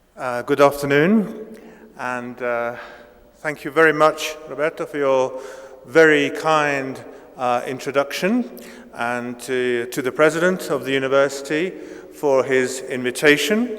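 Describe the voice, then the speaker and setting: A man with a British accent speaks at a fairly slow pace in a fairly high pitch, with ordinary pitch variation and noticeable background noise. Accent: near-native British English. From Italy, raised in Britain from age eight. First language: Italian. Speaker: professor. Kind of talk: lecture. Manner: hesitant, many fillers.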